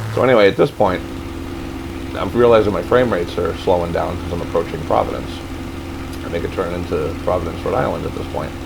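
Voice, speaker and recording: Over noticeable background noise, a man with a very deep, low pitch talks very fast with ordinary pitch variation and long, frequent pauses. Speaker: flight sim gamer. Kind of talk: casual gameplay commentary.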